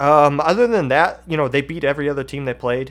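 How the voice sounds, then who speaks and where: A man with a Kentucky accent, fairly high pitch and a moderate pace. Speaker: esports podcast host. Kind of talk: live stream commentary. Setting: live stream.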